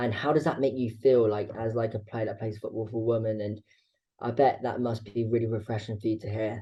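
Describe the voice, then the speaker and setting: A somewhat breathy man's voice, dark and mellow, fairly quick, in a monotone, flat delivery. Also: medium pitch for a man. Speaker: podcast host. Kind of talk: podcast interview. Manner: halting, repeated syllables.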